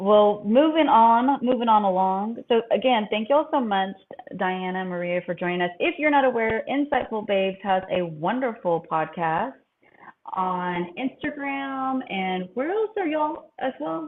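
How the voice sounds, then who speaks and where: With an unremarkable speaking voice, a woman talks at a moderate pace and fairly high pitch, her intonation lively. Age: 40s. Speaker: podcast host. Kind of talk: casual chat.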